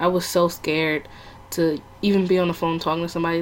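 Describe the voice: A woman talks with a fairly low pitch.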